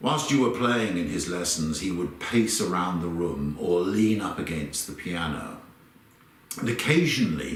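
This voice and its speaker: Audible room echo surrounds a man with a southern English accent who speaks at a fairly slow pace, his fairly low pitch moving in very wide swings. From London, England. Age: 60s. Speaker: conductor. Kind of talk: personal reminiscence.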